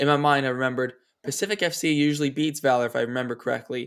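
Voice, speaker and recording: Fairly quick in pace, a man speaks at a medium pitch. His intonation is fairly even. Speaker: soccer podcast host. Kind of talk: casual chat. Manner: fast.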